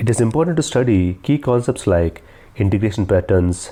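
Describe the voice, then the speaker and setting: A man speaks with an Indian accent at a fairly quick pace. His tone is dark and mellow, and somewhat breathy. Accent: Indian English (Telugu). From South India, Telugu-speaking. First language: Telugu. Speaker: SAP integration consultant and interviewer. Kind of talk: tutorial.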